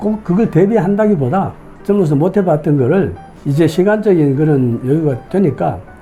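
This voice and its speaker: With music playing in the background, a man talks using very wide pitch swings. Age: 70s. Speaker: retiree and student pilot. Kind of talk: interview answer.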